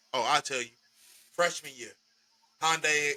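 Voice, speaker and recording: Loud and bright with a sharp tone, a man speaks at a moderate pace and fairly high pitch with fairly even intonation, the sound dry and close with no echo. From Chicago area, Illinois. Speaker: podcast host. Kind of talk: casual chat.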